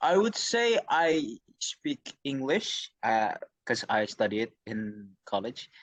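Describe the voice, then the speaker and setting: Recorded with a dry, close sound and no echo, a man speaks at a very slow pace in a fairly high pitch with very wide pitch swings. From Indonesia, Jakarta. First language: Indonesian. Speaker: university student. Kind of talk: interview. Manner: halting.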